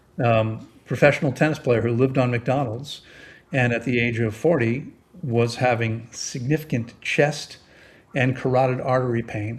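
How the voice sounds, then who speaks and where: Somewhat breathy, a man speaks at a medium pitch and moderate pace with ordinary pitch variation. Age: 60s. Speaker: therapeutic fasting expert. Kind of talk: interview. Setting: podcast.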